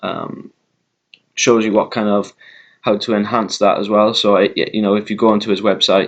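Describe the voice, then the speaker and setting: A man speaks at a fairly low pitch with a Welsh accent. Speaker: vlogger. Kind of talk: casual chat. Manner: slowed down deliberately; hesitant, many fillers.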